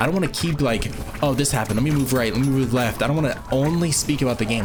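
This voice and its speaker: Music plays in the background as a man speaks at medium pitch, with audible room echo. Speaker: gaming youtuber. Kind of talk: gameplay commentary. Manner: fast; casual, filler-heavy.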